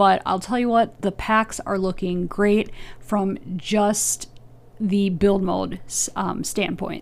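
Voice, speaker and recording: A soft-spoken woman with a medium pitch keeps her intonation fairly even. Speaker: gaming youtuber. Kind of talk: voiceover commentary. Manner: hesitant, filler words.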